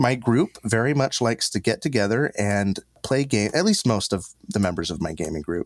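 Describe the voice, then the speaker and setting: A plain, everyday voice with lively intonation talks at a moderate pace in a dry, close sound with no echo. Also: man. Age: 30s. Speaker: board game critic. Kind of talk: casual chat.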